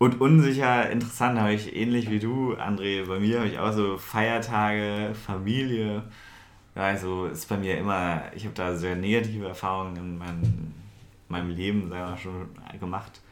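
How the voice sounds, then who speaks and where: The speech moves at a moderate pace with fairly even intonation and audible room echo. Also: man, fairly low pitch for a man. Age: 20s. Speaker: podcast co-host. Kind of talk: casual chat. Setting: own apartment at night.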